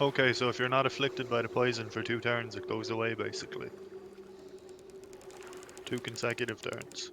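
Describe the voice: A man's put-on character voice, mumbling at a fairly quick pace, with clear background noise.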